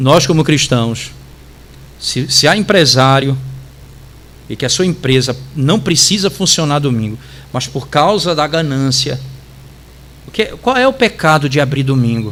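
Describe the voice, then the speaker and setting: Long, frequent pauses break up fairly slow speech whose pitch varies in an ordinary way. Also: man, fairly high pitch for a man. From Brazil, interior of Pará (Tucuruí). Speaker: pastor. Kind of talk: Bible study teaching.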